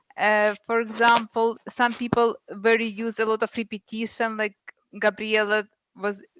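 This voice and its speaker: With a non-native accent, a woman speaks at a fairly slow pace in a fairly high voice, the sound dry and close with no echo. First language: not English. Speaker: club member, grammarian. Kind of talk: meeting role report. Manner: halting.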